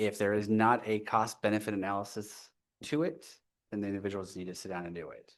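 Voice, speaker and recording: Against a quiet background, a man talks with a fairly low pitch and ordinary pitch variation. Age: 40s. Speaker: public commenter, navy veteran. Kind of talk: public comment at council meeting. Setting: council chambers. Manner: hesitant, many fillers.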